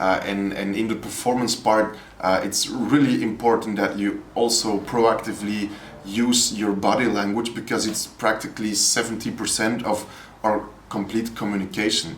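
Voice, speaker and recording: In a Flemish accent, a man with a fairly low pitch speaks in a flat monotone, with noticeable background noise and audible room echo. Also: moderate pace. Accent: Flemish Dutch. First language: Dutch. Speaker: poet and educator. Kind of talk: interview. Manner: halting, with repetitions and hesitations.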